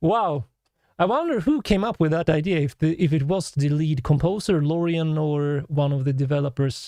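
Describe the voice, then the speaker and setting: A man with a Swedish accent, a fairly high pitch with ordinary pitch variation, a dark, mellow tone and a moderate pace, over a quiet background. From Sweden. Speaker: musician and composer reacting to music. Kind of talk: live stream reaction, reading chat comments. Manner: animated.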